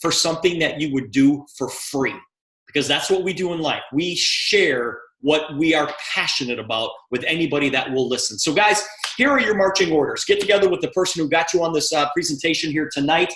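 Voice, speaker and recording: Talking at a fairly quick pace, the man has a high-pitched voice. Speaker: company president. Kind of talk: sales pitch. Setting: video call. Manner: fast.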